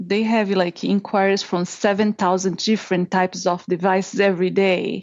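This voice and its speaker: Spoken at a moderate pace in a Portuguese accent, the delivery keeps a fairly even intonation. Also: woman. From Brazil. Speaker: product marketing manager. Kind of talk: interview.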